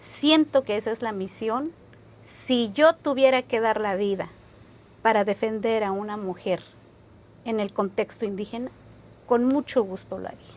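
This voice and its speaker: Woman with big swings in loudness, ordinary pitch variation and long, frequent pauses. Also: fairly high pitch for a woman, fairly slow pace. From San Juan Chamula, Chiapas, Mexico. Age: 30s. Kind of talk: interview answer.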